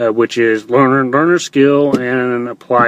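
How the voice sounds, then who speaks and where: At a very slow pace, a man talks with a slight Texas accent. His pitch is medium and his intonation fairly even. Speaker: online entrepreneur vlogger. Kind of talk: livestream monologue. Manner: halting, many fillers.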